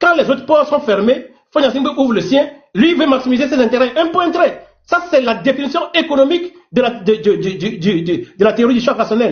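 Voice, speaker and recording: Extremely high man's voice with lively intonation at a moderate pace. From Togo. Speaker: teacher. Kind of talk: heated debate.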